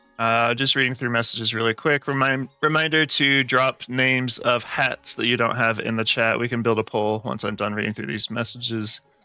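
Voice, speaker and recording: A man speaks at a fairly quick pace with hardly any pauses, a medium pitch and fairly even intonation, with noticeable background noise. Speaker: game streamer. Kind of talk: live stream chat. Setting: live stream.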